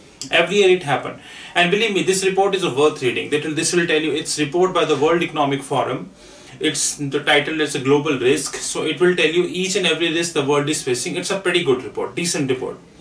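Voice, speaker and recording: Audible room echo surrounds the voice. A man talks at a very fast pace with ordinary pitch variation. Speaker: finance trainer. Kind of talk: lecture. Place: classroom.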